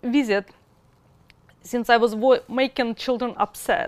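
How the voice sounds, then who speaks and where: A woman with a Russian accent. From Russia, Moscow. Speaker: mother in custody dispute. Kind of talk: testimony.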